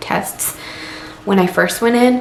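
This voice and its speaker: Audible room echo and noticeable background noise surround a woman whose intonation is fairly even. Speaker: vlogger. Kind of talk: personal vlog. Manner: halting.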